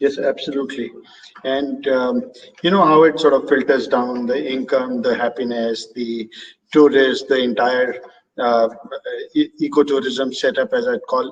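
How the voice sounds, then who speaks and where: This man speaks with an Indian accent at a medium pitch. His pace is fairly slow and his intonation fairly even. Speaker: birding tour operator and host. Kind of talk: live online talk Q&A.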